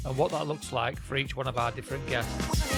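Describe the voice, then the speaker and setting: A man speaks with music in the background. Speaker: podcast host. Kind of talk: podcast intro.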